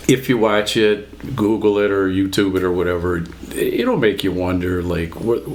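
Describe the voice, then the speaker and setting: A man with a fairly low pitch speaks through audible room echo and noticeable background noise. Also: ordinary pitch variation, moderate pace. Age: 60s. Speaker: podcast guest, grandfather. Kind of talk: casual chat. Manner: hesitant, with many ums.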